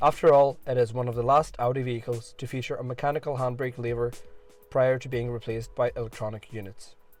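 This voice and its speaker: With music in the background, a man talks at a very fast pace in a monotone, flat intonation, his loudness swinging widely. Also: medium pitch for a man. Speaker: car reviewer. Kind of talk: car review narration.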